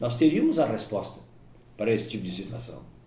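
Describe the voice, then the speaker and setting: Audible room echo surrounds the recording. A man talks at a fairly quick pace. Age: 70s. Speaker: sports radio broadcaster. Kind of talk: life-story interview. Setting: at home.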